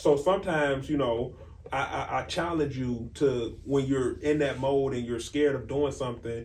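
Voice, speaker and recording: Recorded with audible room echo, a man talks at a moderate pace in a fairly high pitch with fairly even intonation. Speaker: faith podcast co-host. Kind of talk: casual chat. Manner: loud.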